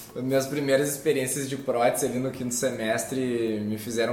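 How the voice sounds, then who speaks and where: A man at medium pitch, a fairly quick pace, audible room echo and noticeable background noise. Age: 30s. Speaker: dentist and clinic owner. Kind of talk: casual chat.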